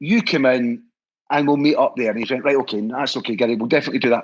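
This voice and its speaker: A man with a Scottish accent speaks in an animated tone. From Scotland. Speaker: historical society leader. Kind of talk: casual interview chat.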